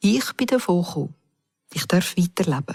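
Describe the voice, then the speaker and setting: In a Swiss German accent, a woman speaks at a fairly low pitch with lively intonation, a solemn tone and a somewhat breathy voice, the sound dry and close with no echo. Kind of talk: psalm reading. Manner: slow, solemn.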